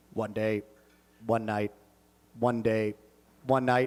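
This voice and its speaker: Using a put-on character voice, a man speaks at a fairly slow pace and medium pitch in a monotone, flat intonation. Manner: chirpy.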